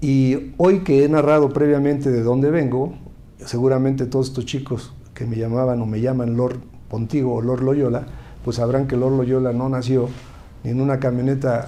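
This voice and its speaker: Audible room echo surrounds a man's medium-pitched voice, dark and mellow in tone, flat and monotone, at a moderate pace. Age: 60s. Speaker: politician, former university rector. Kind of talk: interview. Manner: halting.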